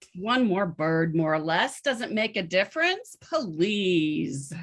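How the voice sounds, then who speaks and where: A female-sounding voice performs a put-on character voice. It is medium in pitch and fairly slow. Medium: stage. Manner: dismissive.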